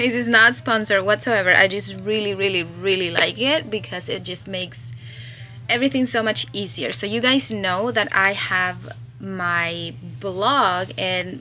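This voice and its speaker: Through noticeable background noise, a woman of medium pitch speaks fairly slowly with a Spanish accent, her pitch swinging very widely. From Chile. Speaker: crochet pattern designer and vlogger. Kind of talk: casual vlog. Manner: animated.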